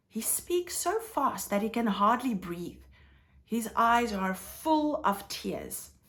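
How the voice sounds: Someone reads in a natural voice. The intonation is lively.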